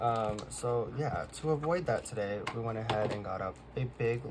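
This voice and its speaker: Quietly, a man talks at medium pitch with ordinary pitch variation. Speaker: K-pop collector vlogger. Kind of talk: casual chat. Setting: at home, late at night.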